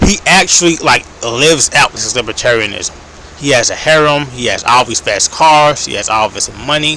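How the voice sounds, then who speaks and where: A man with an American accent, a fairly high pitch and ordinary pitch variation, at a moderate pace over noticeable background noise. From United States. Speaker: political commentator. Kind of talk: casual monologue. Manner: hesitant, many fillers.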